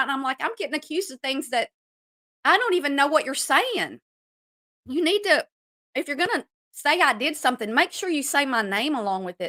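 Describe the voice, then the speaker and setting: A woman speaks in a raised, projected voice with a high pitch and very wide pitch swings. Her tone is bright and sharp, and the sound is dry and close with no echo. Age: 60s. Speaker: YouTube commentary streamer. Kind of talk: live stream rant. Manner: animated.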